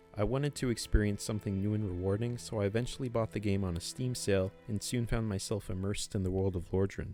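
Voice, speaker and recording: With music playing behind him, a man with a fairly low pitch talks at a very fast pace, hardly pausing at all. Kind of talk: video game review narration. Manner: monotone.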